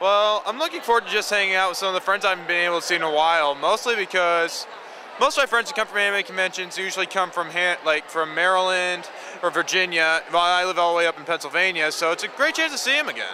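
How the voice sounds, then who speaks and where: Noticeable background noise sits behind a man's voice. He talks very fast at a high pitch. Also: ordinary pitch variation. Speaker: convention attendee cosplayer. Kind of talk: casual interview answers. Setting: convention floor.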